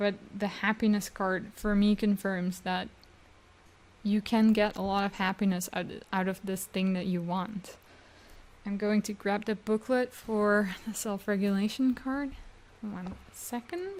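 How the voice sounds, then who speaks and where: Somewhat breathy and fairly even in intonation, a woman talks with a non-native accent. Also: medium pitch for a woman. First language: not English. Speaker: tarot reader. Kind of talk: tarot reading. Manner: halting.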